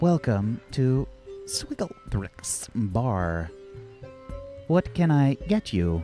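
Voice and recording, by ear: Over clear music in the background, a man does a put-on robotic character voice at a medium pitch and a very slow pace.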